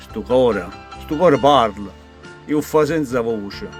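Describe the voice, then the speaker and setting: With a Neapolitan accent, a man speaks at a fairly slow pace with ordinary pitch variation. Music plays in the background. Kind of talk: poetry reading.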